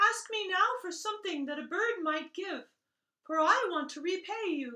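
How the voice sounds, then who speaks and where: An extremely high, squeaky put-on character voice. It moves along at a moderate pace. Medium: read story.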